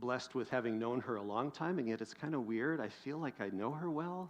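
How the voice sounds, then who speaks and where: A man with an American accent talks at a moderate pace in a plain, everyday voice. His pitch is medium with ordinary variation, over a quiet background. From US Pacific Northwest. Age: 50s. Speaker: pastor. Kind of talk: sermon.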